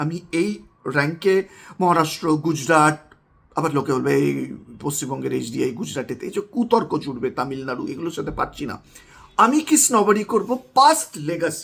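With a plain, everyday voice, a man speaks at a fairly high pitch and with lively intonation. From West Bengal. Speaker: political commentator. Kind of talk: video monologue.

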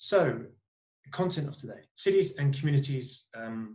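A man's somewhat breathy, medium-pitched voice with audible room echo and a quiet background. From Britain. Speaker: NGO cities program coordinator and webinar moderator. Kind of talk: webinar moderation. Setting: video call. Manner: hesitant, many fillers. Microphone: earbuds.

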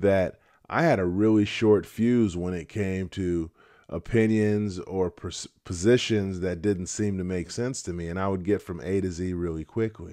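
A very deep, low-pitched man's voice with a dark, mellow tone and fairly even intonation over a quiet background. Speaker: retiree vlogger. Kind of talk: casual vlog chat. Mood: calm, reflective. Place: home room. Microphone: studio mic.

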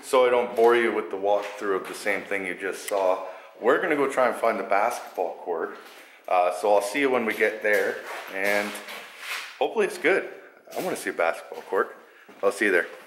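A man's fairly quick speech comes over noticeable background noise. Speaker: urban explorer vlogger. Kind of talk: casual vlog chat. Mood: curious, slightly hushed. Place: empty room. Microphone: phone near.

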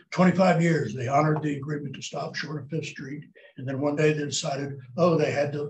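Light background noise and audible room echo surround a man speaking with fairly even intonation. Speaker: citizen giving public comment. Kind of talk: public comment statement. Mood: earnest, concerned. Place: hall. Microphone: podium.

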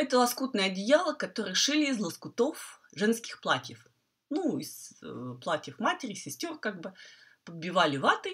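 With vocal fry, a woman talks at a fairly high pitch and a moderate pace. Her pitch swings very widely, and her loudness shifts a great deal. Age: 50s. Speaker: quilting teacher. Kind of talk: tutorial. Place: home room. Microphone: earbuds.

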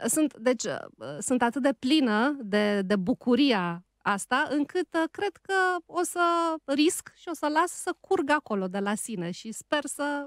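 Delivered at a very slow pace with very wide pitch swings, the speech has a dry sound with no echo and a quiet background. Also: woman, high pitch for a woman. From Romania, outside Bucharest. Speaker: radio host and writer; radio host. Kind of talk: casual chat. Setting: studio. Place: studio. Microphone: studio mic.

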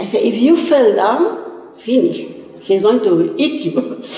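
A woman at a fairly slow pace, with lively intonation and audible room echo. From Argentina. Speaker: community member. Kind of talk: interview storytelling. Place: studio.

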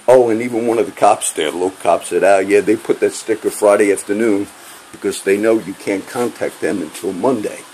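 A man's fairly low voice at a moderate pace over light background noise. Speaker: vlogger. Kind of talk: casual vlog rant. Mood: angry, agitated. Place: home room. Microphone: phone near.

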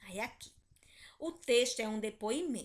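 A woman with a fairly high pitch uses lively intonation in an ordinary speaking voice. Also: quiet background. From Brazil. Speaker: primary school teacher. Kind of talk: online class lesson. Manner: slow, didactic.

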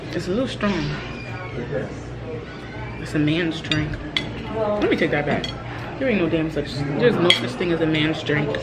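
A woman with long, frequent pauses amid loud background noise. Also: moderate pace. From Jamaica. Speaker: vlogger. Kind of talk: casual vlog talk. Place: cafe. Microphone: phone near.

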